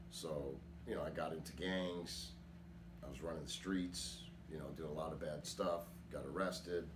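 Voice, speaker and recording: Long, frequent pauses break up a man's very deep, low voice, which has ordinary pitch variation and audible room echo. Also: moderate pace. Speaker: rap metal vocalist. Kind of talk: interview testimony. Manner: casual.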